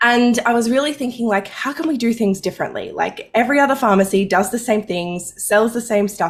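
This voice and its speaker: A somewhat breathy woman with an Australian accent speaks at a fairly quick pace, her intonation lively. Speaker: money mindset coach, former pharmacist. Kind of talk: podcast interview.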